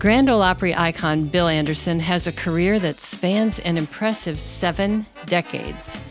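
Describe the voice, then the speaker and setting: Over music in the background, a woman speaks at a fairly low pitch with ordinary pitch variation and very even loudness. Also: moderate pace, hardly any pauses. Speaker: interviewer. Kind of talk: documentary narration.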